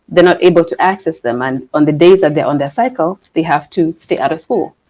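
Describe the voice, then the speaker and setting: Dark and mellow in tone, a woman's fairly low voice carries lively intonation. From Kenya, Nairobi. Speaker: business founder. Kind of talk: interview. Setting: conference expo livestream. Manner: halting, many fillers.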